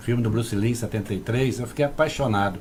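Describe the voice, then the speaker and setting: Somewhat breathy, the man speaks with ordinary pitch variation. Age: 60s. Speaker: kung fu grandmaster. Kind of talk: casual interview chat.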